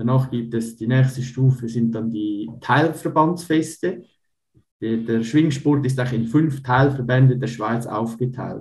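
Very slow, somewhat breathy speech from a man at a medium pitch. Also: ordinary pitch variation. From Switzerland, canton of Uri. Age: 30s. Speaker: Swiss wrestler. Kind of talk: interview.

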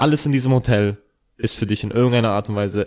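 A man speaks at a very fast pace. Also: very clean recording, silent background. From Bavaria (Ingolstadt). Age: 30s. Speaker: rapper. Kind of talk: casual chat. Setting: indoor recording.

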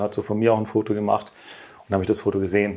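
With a dark, mellow tone, this man talks at a medium pitch. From southern Germany. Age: 40s. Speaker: company director and coaching client. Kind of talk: interview testimony.

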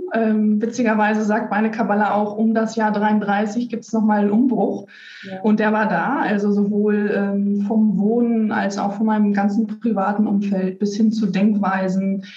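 A woman's fairly high, monotone voice at a moderate pace, with audible room echo and noticeable background noise. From Germany, North Rhine-Westphalia (Lippstadt). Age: 30s. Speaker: kabbalah reader, automotive worker. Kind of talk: interview. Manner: halting, many fillers.

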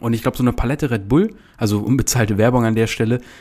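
On a very clean recording with a silent background, a man with a plain, everyday voice speaks at a fairly quick pace, medium in pitch with ordinary pitch variation. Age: 20s. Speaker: podcast host and online business coach. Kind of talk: casual podcast monologue.

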